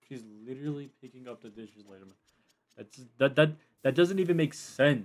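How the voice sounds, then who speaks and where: A man mumbles at a fairly quick pace with a fairly high pitch and ordinary pitch variation. His loudness swings widely, and he takes long, frequent pauses. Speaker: Roblox streamer. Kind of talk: live gaming stream commentary. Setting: live stream. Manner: mumbling; quiet at times.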